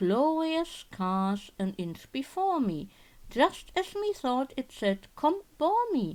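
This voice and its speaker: A woman uses a put-on character voice with a high pitch and very wide pitch swings. She speaks at a very slow pace. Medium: read story. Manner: excited, breathless.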